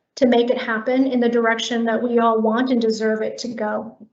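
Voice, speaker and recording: With a General American accent, a woman speaks at a moderate pace in a high pitch with monotone, flat intonation. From US West Coast, Korean immigrant community. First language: Korean. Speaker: public health HR director. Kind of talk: prepared remarks at online staff meeting.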